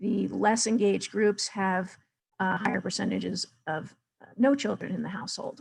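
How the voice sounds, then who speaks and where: A woman with an ordinary speaking voice, at a moderate pace and medium pitch with ordinary pitch variation. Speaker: data presenter. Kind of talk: webinar presentation.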